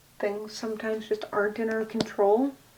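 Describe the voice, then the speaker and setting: A soft-spoken woman talks at a moderate pace. Her fairly high pitch keeps a fairly even intonation. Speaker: tarot/oracle deck reviewer, ASMR content creator. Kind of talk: ASMR soft-spoken card deck walkthrough to camera. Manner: soft-spoken, casual.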